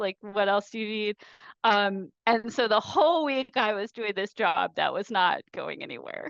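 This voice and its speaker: An unremarkable speaking voice with ordinary pitch variation moves at a fairly slow pace against a quiet background. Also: woman. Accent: American. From US. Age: 40s. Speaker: professor. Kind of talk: seminar talk. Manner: casual, filler-heavy.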